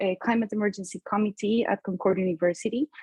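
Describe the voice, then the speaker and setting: A woman with a Spanish accent speaks at a medium pitch with ordinary pitch variation. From Colombia. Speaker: climate panelist, sustainability advocate. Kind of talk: panel discussion.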